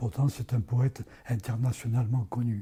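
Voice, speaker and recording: A man's dark, mellow, somewhat breathy tone at medium pitch and a moderate pace. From France, Ardèche. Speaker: poet. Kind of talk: interview. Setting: parish premises. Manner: hesitant.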